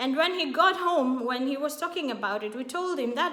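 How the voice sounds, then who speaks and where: A woman speaks with lively intonation, with noticeable background noise and audible room echo. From Kenya. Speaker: YouTube vlogger. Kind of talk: casual vlog talk to camera. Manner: animated.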